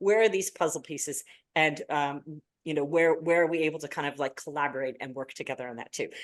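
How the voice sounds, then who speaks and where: Her very deep, low pitch and ordinary pitch variation mark this woman as she talks at a very fast pace. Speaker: panel moderator. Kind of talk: webinar panel introduction. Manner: animated, filler-heavy.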